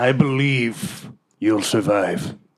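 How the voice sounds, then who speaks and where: A man puts on a raspy character voice at a medium pitch, with lively intonation. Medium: actual play. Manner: earnest, awkward.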